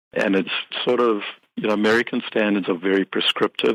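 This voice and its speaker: A South African accent with fairly even intonation, in a dry, close sound without echo. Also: man. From South Africa, Cape Town. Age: 50s. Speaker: accountant and business software company CEO. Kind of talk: podcast interview.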